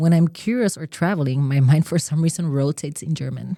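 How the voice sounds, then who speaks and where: With a very deep, low pitch and a dark, mellow tone, a woman speaks at a moderate pace with ordinary pitch variation, in a dry, close sound with no echo and a very clean recording with a silent background. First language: Spanish. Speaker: podcast co-host. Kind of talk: scripted monologue; casual chat.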